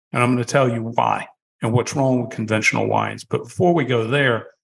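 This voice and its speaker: Fairly quick speech from a man at medium pitch, with vocal fry and fairly even intonation. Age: 60s. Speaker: wine company founder. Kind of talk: podcast interview.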